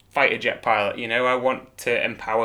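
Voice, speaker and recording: A man with a Manx accent speaks fairly quickly at a medium pitch, his tone bright and sharp. His intonation is monotone and flat, and the recording is very clean with a silent background. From Isle of Man. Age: 30s. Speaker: professional cyclist. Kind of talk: interview.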